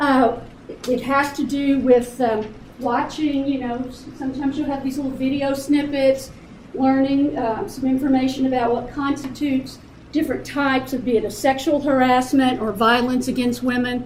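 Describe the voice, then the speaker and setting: High pitch from a woman in monotone, flat intonation, amid noticeable background noise and audible room echo. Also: moderate pace. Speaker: college staff trainer presenting to faculty. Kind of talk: orientation presentation.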